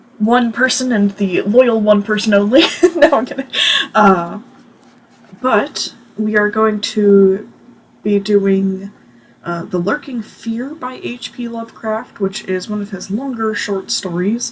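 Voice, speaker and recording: Fairly slow, fairly high-pitched speech from a woman, ordinary in pitch variation, under noticeable background noise. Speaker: book reading youtuber. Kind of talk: reading aloud with casual commentary. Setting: home bedroom. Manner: sounds sarcastic.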